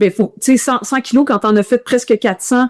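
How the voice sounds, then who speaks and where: A woman with a Quebec accent and a fairly high pitch talks in an animated tone, with a dry, close sound and no echo. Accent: Quebec French accent audible in English. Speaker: ultramarathon runner. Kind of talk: casual interview storytelling. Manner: animated, hesitant with many repetitions.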